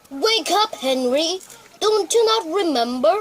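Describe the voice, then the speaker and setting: This woman uses a put-on character voice with an extremely high pitch. She talks at a fairly slow pace. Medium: read story.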